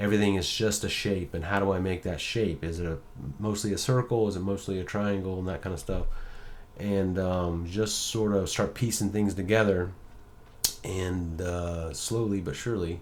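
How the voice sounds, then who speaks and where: A man talks in a fairly low pitch with fairly even intonation. Room echo is audible in the recording. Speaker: graphic design tutor. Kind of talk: tutorial. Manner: fast; casual, with many fillers.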